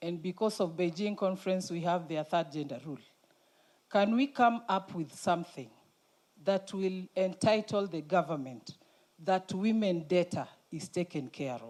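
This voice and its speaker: A woman's dark, mellow voice at medium pitch, moderate pace and lively intonation, on a very clean recording with a silent background. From Kenya, Homa Bay. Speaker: county government worker. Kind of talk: audience question at conference. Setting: conference hall with audience.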